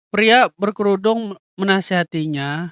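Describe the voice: A fairly bright, nasal voice with a clear, smooth tone, fairly slow pace and ordinary pitch variation, in a dry, close sound with no echo. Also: man, high pitch for a man.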